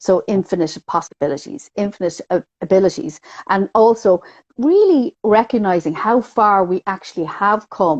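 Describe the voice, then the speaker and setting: Speaking with a Dublin accent, a woman uses a medium pitch and ordinary pitch variation at a moderate pace. The sound is dry and close, with no echo. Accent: Dublin Irish. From Ireland, Dublin. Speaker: numerologist. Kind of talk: casual interview chat.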